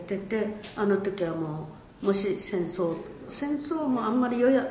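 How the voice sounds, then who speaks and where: Over noticeable background noise and audible room echo, a woman with a medium pitch talks at a moderate pace with lively intonation. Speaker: war survivor and peace museum director. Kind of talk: testimony.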